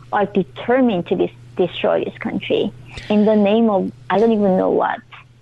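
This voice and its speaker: Here a woman speaks at a medium pitch and moderate pace with a Korean accent. Her intonation is lively. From North Korea. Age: 20s. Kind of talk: interview.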